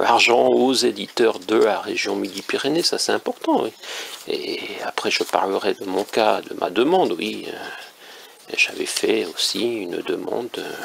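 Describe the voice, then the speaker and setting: A man speaks at a very slow pace. There is noticeable background noise. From northern France. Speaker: independent author and commentator. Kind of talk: casual monologue commentary. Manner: hesitant, many fillers.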